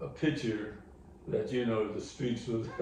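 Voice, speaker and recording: With noticeable background noise and audible room echo, a man speaks at a medium pitch with ordinary pitch variation. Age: 80s+. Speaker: elder sharing life history. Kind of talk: oral history interview. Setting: at home. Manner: halting.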